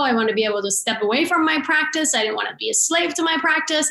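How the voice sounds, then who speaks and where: A woman over noticeable background noise. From immigrant to US at sixteen. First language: not English. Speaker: chiropractor. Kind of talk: interview.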